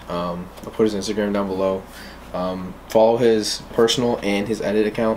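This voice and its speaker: The man talks at a fairly slow pace with fairly even intonation. Light background noise sits behind him. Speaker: fitness vlogger. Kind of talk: casual vlog chat. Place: home room. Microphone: camera far.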